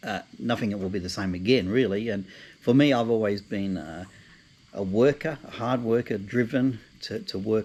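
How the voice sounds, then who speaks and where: In an Australian accent, a man speaks at a moderate pace. His pitch is fairly low, with ordinary pitch variation. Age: 60s. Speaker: travel vlogger, retiree. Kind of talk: casual vlog monologue. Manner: halting, many fillers and repeats.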